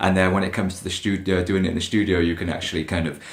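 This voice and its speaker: Speaking at a very fast pace, a man with a very deep, low pitch keeps a monotone, flat intonation in a room with audible echo. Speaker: singer answering fan questions. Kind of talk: casual Q&A to camera.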